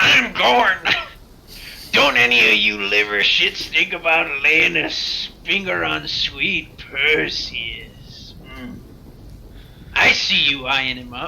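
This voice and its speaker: Loud and at a very slow pace, a man performs a put-on character voice over clear background noise. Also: fairly high pitch for a man. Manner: loud, dim-witted, threatening.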